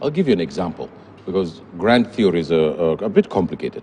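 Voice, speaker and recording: Noticeable background noise sits behind the recording. A man's voice swings very widely in pitch. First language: a Kenyan language, English is second or third. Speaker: policy research fellow, TV news guest. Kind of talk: TV panel discussion. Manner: animated, emphatic.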